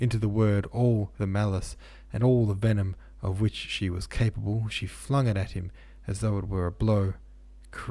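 The intonation stays fairly even. The reading voice sounds natural.

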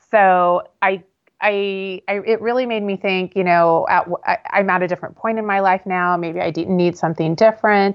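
In a normal speaking voice, the intonation stays fairly even. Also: woman, medium pitch for a woman, moderate pace. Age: 50s. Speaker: intuitive reader and business owner. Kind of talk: podcast interview.

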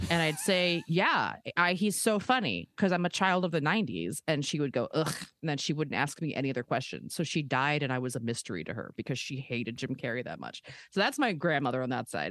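A woman with an American accent speaks at a fairly quick pace in a very deep, low pitch with vocal fry. Her intonation is lively. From Maryland, Baltimore area. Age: 30s. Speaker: stand-up comedian. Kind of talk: casual chat.

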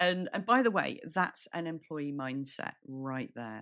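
The recording is very clean, its background silent. A woman talks at a fairly slow pace. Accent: British. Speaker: business strategist and podcast co-host. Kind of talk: solo podcast monologue.

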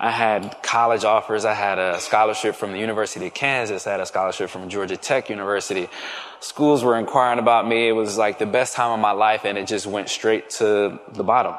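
With an American accent, the speaker moves at a fairly quick pace in a monotone, flat intonation over noticeable background noise. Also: man. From Philadelphia area, Pennsylvania. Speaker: football player. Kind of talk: testimony.

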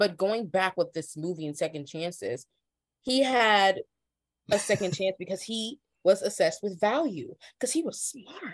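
Speaking at a moderate pace with a plain, everyday voice, this speaker has an American accent and lively intonation. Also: woman, medium pitch for a woman. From Ohio, US Midwest. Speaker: journalist and freelance cultural writer. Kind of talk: casual chat.

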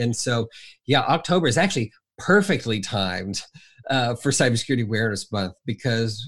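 With an unremarkable speaking voice, a man talks at a moderate speed and ordinary pitch variation in a very clean recording with a silent background. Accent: American. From Southern Indiana. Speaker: cybersecurity educator at a nonprofit. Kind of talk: casual interview.

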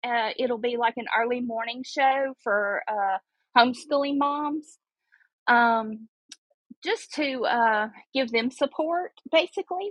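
A woman's high voice in a Mississippi accent, at a very slow pace with ordinary pitch variation. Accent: Southern US (Mississippi). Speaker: podcaster calling in. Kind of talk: casual chat. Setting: call-in to live show.

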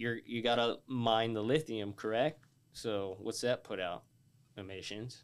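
Fairly even in intonation and medium in pitch, a man speaks in an unremarkable speaking voice. He keeps a fairly slow pace. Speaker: podcast host. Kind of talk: casual chat.

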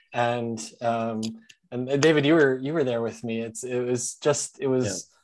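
A man talks in an ordinary speaking voice at a moderate pace. His intonation is fairly even. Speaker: wine tech founder. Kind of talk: casual chat.

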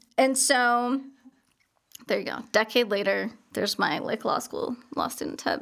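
A woman with a high pitch, fairly even intonation and a fairly slow pace. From Colorado, US (Highlands Ranch, Denver suburbs). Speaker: lawyer. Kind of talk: casual interview. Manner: casual, filler-heavy.

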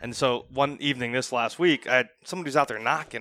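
A man with an American accent and a bright, sharp tone speaks at a fairly quick pace in a very clean recording with a silent background and a dry, close sound with no echo. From Northeast Ohio. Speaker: financial advisor. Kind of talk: casual chat.

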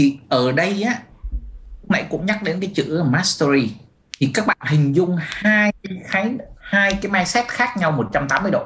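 A man with a high pitch speaks with lively intonation. His pace is fairly slow. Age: 50s. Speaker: business coach and author. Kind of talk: webinar talk. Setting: webinar video call.

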